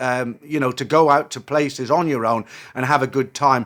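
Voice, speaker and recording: Speaking in a British accent, a man uses a fairly high pitch. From UK. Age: 60s. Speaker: expat vlogger. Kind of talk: casual vlog monologue. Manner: hesitant, many fillers.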